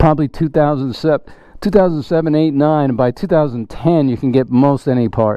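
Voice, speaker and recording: A man with a fairly high pitch uses an ordinary speaking voice, talking at a fairly quick pace with ordinary pitch variation. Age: 60s. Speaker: motorcycle enthusiast test-riding a bike. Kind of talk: casual chat.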